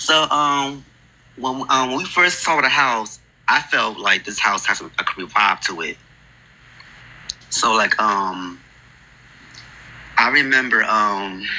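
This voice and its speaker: With an American accent, a man talks at a very slow pace and medium pitch, his intonation lively and broken by long, frequent pauses, over noticeable background noise. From New Jersey, Newark area. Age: 20s. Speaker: podcast guest sharing a ghost story. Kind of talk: personal storytelling on a call-in podcast. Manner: halting, many fillers.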